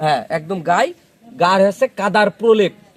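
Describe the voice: The pace is moderate. Pitch variation is ordinary. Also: man, high pitch for a man.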